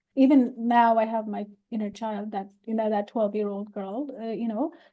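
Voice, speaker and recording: In a non-native accent, a woman with a fairly high pitch and a dark, mellow tone speaks at a moderate pace with fairly even intonation. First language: not English. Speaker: podcast host. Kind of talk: casual chat.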